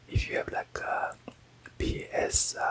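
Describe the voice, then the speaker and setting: Over noticeable background noise, a man whispers at a very slow pace in a calm tone. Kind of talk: ASMR unboxing. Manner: soft, whispered, calm.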